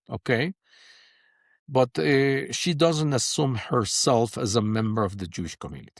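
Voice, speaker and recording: On a very clean recording with a silent background and a dry, close sound with no echo, a man speaks with a Spanish accent and very wide pitch swings. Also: medium pitch for a man, moderate pace. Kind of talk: interview conversation. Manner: halting.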